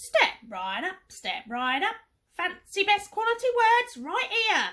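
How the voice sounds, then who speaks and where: A woman's raised, projected put-on character voice, extremely high in pitch, at a fairly slow pace. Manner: loud, showy pitch.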